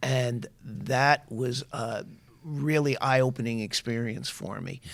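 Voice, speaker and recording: The speaker talks at a very slow pace in a New York accent. The intonation is fairly even. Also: man, medium pitch for a man. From New York, Long Island. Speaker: higher education official. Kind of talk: interview.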